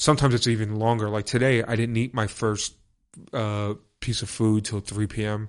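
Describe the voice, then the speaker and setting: A man with a New York accent talks at a moderate pace in a fairly low pitch. His delivery is flat and monotone against a quiet background. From New York, Brooklyn. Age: 30s. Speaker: techno DJ. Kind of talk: casual chat.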